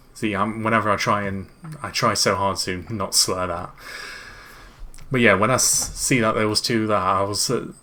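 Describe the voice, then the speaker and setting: With audible room echo around him, a man talks with long, frequent pauses. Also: fairly even intonation, moderate pace. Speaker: gaming streamer reacting to a video. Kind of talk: reaction commentary. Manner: halting.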